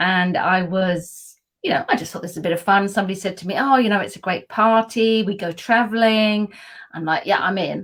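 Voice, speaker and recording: A woman with a southern English accent at a fairly quick pace. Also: medium pitch for a woman, ordinary pitch variation. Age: 60s. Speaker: PR consultant and wellbeing advocate. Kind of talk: casual interview chat. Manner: animated.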